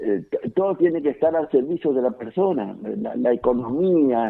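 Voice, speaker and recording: A man is speaking. His intonation is lively. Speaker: farmer. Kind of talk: phone interview. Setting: phone call. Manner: halting, many fillers and repetitions.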